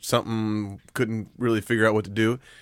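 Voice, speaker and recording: An unremarkable speaking voice moves at a fairly quick pace on a very clean recording with a silent background. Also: man. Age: 30s. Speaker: podcast co-host. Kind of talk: casual chat.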